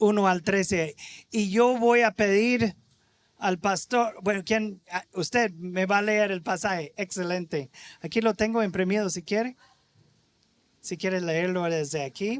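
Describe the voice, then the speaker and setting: This man with an American accent speaks in a high pitch at a fairly slow pace. His pitch varies in an ordinary way, and the sound is dry and close with no echo. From United States. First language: English (speaking Spanish). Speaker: visiting preacher. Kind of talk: sermon.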